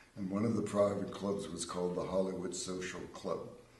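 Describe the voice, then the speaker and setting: Very deep, low male voice with an American accent and fairly even intonation, in audible room echo with noticeable background noise. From Pennsylvania, US. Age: 70s. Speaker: winery owner and winemaker. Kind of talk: casual chat. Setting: live TV show.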